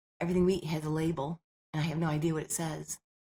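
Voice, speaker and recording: A somewhat breathy woman speaks at a very fast pace and a fairly low pitch. The sound is dry and close, with no echo. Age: 60s. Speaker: health and nutrition researcher. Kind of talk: podcast interview. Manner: animated.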